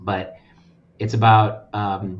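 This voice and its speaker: A man with an American accent talks at medium pitch, somewhat breathy. Room echo is audible. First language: Russian. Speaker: nonprofit lending representative. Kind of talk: casual chat.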